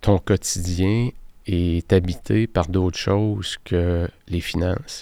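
A man with a Quebec accent, very deep, low pitch and dark, mellow tone, at a very slow pace with fairly even intonation, on a very clean recording with a silent background. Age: 50s. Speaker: productivity coach and podcast host. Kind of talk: solo podcast monologue.

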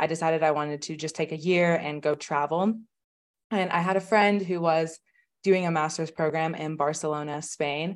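A woman's very deep, low pitch with fairly even intonation. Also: moderate pace, quiet background. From Oklahoma, US. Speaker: online business manager. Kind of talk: interview.

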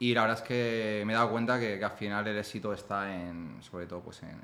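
A man talks fairly quickly in a fairly low register, keeping his intonation fairly level. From Spain, Ciudad Real. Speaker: entrepreneur and author. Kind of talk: casual interview. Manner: halting, repeats words.

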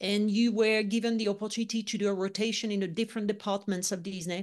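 Against a quiet background, a woman with a French accent speaks at a fairly quick pace. Her pitch is medium, with ordinary variation. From France, Lyon. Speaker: leadership consultant. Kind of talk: interview.

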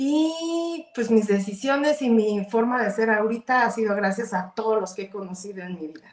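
A woman with a fairly high pitch at a fairly slow pace, with ordinary pitch variation. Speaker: entrepreneur. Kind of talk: interview.

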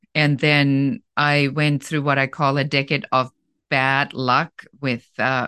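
A woman speaks with a very deep, low pitch and a bright, sharp tone in a slight German accent. The sound is dry and close, with no echo. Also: quiet background. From Germany. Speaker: business coach. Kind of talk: interview.

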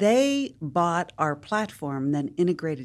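Very deep, low female voice with an American accent, very slow pace, in a very clean recording with a silent background. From West Virginia, US. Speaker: nonprofit leader and entrepreneur. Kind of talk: interview.

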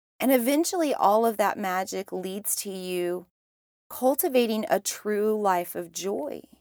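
A woman with an ordinary speaking voice, fairly slow delivery and lively intonation, on a very clean recording with a silent background. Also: medium pitch for a woman. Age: 30s. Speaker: spiritual podcast host. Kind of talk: solo monologue.

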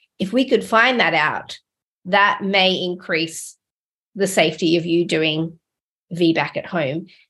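A woman's fairly low voice with a bright, sharp tone and an Australian accent, very slow, with long, frequent pauses, over a quiet background. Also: ordinary pitch variation. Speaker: midwife podcast host. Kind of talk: podcast interview.

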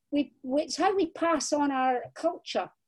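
Spoken at a fairly slow pace with a Scottish accent, the voice has a dark, mellow tone. The recording is very clean, with a silent background. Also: woman. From Scotland. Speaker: crime novelist. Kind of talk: interview.

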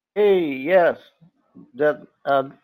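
A man speaks in an ordinary speaking voice. His pitch is fairly high, with ordinary variation. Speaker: webinar co-host moderator. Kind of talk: webinar moderating, reading questions. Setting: online webinar.

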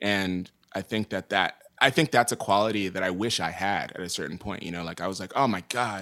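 On a very clean recording with a silent background, a man with an American accent talks at a fairly quick pace with hardly any pauses, in a bright, sharp tone that is fairly low in pitch, with ordinary pitch variation and big swings in loudness. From New York City. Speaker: drummer and producer. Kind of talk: casual chat. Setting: recording studio.

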